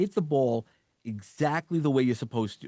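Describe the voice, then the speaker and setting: With a slight New York accent, a man of medium pitch talks at a fairly quick pace with lively intonation, in a dry, close sound with no echo and a quiet background. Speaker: suicide survivor and motivational speaker. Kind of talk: interview conversation. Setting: podcast interview.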